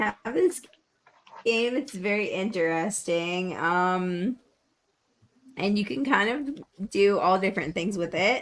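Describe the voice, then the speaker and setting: With an American accent, a woman speaks at a very slow pace with lively intonation and long, frequent pauses. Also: medium pitch for a woman. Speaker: game show co-host. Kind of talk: casual chat.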